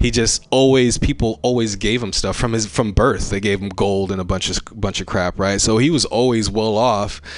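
With an American accent and a normal speaking voice, a man of fairly low pitch talks at a moderate pace with hardly any pauses and ordinary pitch variation. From California Bay Area. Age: 30s. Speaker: comedian and Baptist minister. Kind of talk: casual chat.

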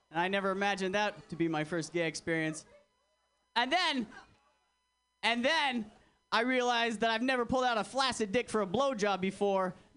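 Over music in the background, a man with a high pitch uses lively intonation and very even loudness, pausing long and often. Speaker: stand-up comedian. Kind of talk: stand-up set. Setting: stage with audience (replayed video). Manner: crude, edgy, brash.

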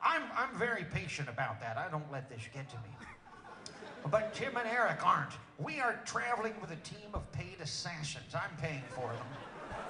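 Against noticeable background noise, the speaker's pitch swings very widely at a moderate pace. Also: man, high pitch for a man. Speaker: comedian. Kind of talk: stand-up. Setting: stage with audience.

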